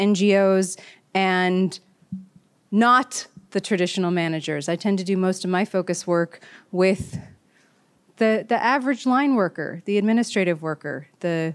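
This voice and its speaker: A woman with an American accent at medium pitch, moderate pace and ordinary pitch variation, on a very clean recording with a silent background. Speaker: organizational coach. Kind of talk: panel discussion.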